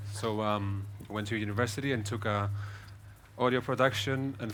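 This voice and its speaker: Fairly quick speech in a Greek accent with fairly even intonation. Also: man. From Athens, Greece. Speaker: psytrance producer. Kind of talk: panel discussion.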